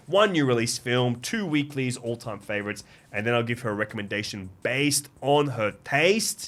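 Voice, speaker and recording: Here a man talks with a Greek Australian accent at a medium pitch. His intonation is lively and his pace is moderate. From Sydney, Australia (Canterbury, Greek Australian). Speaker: podcast host. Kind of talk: casual chat. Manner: animated.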